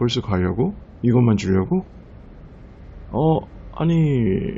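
Medium pitch and lively intonation from a man. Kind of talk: roleplay ASMR, talking to a girlfriend. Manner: soft, intimate, affectionate.

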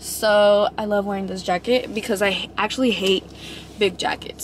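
A woman speaks at a fairly quick pace, the sound dry with no echo and light background noise. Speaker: vlogger. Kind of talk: casual vlog chat. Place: car.

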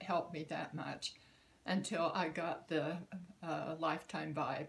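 A woman talks at a fairly slow pace in a fairly low pitch, with vocal fry. Her intonation is monotone and flat, and light background noise can be heard. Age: 80s+. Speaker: customer giving a product testimonial. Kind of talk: testimonial talk to camera. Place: home room. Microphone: phone near.

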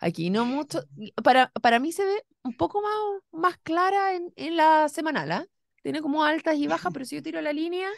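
Her voice is high for a woman, with lively intonation at a moderate pace, recorded dry with no echo against a quiet background. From Chile. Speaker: radio political podcast host. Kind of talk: political discussion. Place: studio. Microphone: studio mic.

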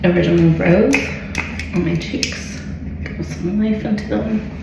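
A woman amid audible room echo and noticeable background noise. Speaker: makeup vlogger. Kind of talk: casual makeup tutorial chat. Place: home room. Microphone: phone near.

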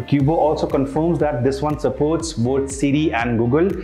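At a moderate pace, a man talks in a room with audible echo. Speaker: tech reviewer. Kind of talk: product review. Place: studio. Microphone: lapel.

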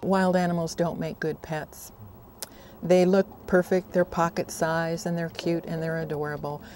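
The intonation stays fairly even while music plays in the background. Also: woman, dry sound with no echo. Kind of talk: interview answer. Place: garden. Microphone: lapel.

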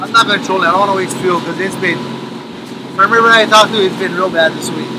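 A man talks at a very fast pace over noticeable background noise. The sound is dry, with no echo. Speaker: fishing vlogger. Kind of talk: casual vlog chat. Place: boat. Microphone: phone near.

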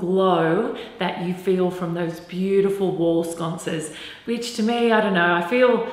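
Moderate-paced speech from a woman, ringing with audible room echo. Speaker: presenter. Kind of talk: presenter talk to camera. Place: home room.

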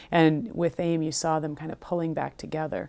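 This woman has a fairly low pitch and a dark, mellow tone. She speaks with an American accent. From US Midwest. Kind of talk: interview. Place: studio. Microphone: lapel.

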